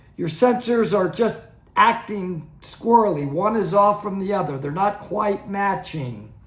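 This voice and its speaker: Speaking fairly slowly, a man with a high pitch and lively intonation is heard over noticeable background noise and audible room echo. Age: 60s. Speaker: dive instructor and channel host. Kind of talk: educational talk to camera. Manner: conversational, some stammering restarts.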